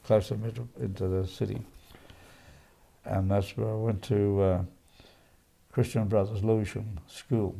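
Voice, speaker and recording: A man with an Australian accent speaks in a dark, mellow tone. His pitch is fairly low and his intonation fairly even. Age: 80s+. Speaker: centenarian interviewee. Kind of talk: life story interview. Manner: halting.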